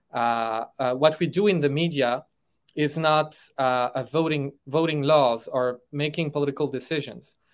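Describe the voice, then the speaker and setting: A man's fairly high voice in a French accent, with fairly even intonation, in a very clean recording with a silent background. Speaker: political philosopher. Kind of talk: interview conversation.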